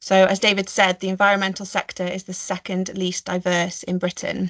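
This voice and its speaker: In a Staffordshire accent, a woman talks at a fairly quick pace and medium pitch. Her intonation is monotone and flat, and the background is quiet. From Staffordshire, English Midlands. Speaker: marine biologist and conservationist; webinar panelist. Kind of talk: webinar talk. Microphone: video call.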